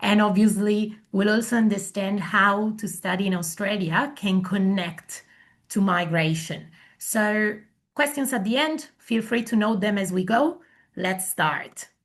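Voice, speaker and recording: Somewhat breathy, a woman speaks at a fairly slow pace against a quiet background. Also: medium pitch for a woman, ordinary pitch variation. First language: Italian. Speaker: migration agent. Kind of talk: webinar presentation.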